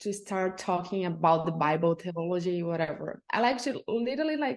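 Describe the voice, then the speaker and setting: With a Brazilian accent, the speaker uses lively intonation at a moderate pace. The background is quiet. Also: woman. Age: 20s. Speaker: journalist. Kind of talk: casual interview chat.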